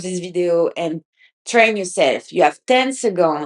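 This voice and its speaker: A woman speaks with a French accent and ordinary pitch variation, her voice sounding dry and close with no echo. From France. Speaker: podcast host. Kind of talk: casual podcast monologue. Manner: halting, many restarts.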